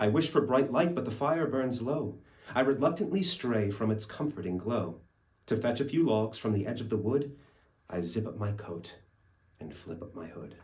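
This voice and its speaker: A man speaks at a moderate pace with a somewhat breathy, medium-pitched voice, lively intonation and big swings in loudness. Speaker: actor. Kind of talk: poetry reading. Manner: storytelling, expressive.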